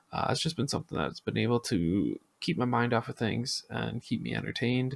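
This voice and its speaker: The tone is relaxed. Pitch varies in an ordinary way. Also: man. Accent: Midwestern. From US Midwest, Minnesota. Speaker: podcast host and Twitch streamer. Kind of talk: casual podcast monologue. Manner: relaxed, many filler ums.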